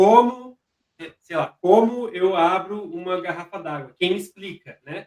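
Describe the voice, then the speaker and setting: A man speaks at a high pitch and a fairly slow pace. His loudness swings widely, while his pitch variation stays ordinary. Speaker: information security officer. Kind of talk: interview conversation. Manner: halting, with repetitions.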